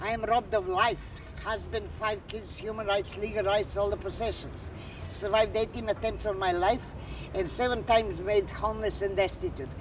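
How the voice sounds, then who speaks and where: A woman keeps a moderate pace while noticeable background noise is present. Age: 60s. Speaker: street demonstrator. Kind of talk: documentary interview.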